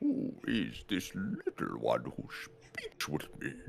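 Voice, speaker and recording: A man's put-on character voice at a very slow pace, with clear background noise. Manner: curious, slow.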